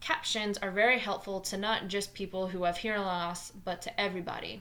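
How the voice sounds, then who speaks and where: With a New Jersey accent, a woman talks at a moderate pace. Her pitch is medium and her intonation fairly even. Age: 20s. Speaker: math teacher. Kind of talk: tutorial.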